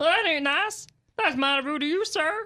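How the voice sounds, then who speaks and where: Someone uses a put-on character voice in a Midwestern accent. The pitch is high. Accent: Midwest drawl. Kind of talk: folksy, rustic. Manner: offended.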